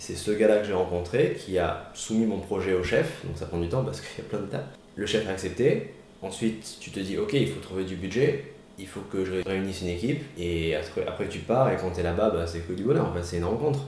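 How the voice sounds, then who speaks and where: A man with a fairly low pitch talks fairly quickly with ordinary pitch variation. Noticeable background noise and audible room echo are present. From Marseille, southern France. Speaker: photographer and street artist. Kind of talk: interview. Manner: hesitant with fillers.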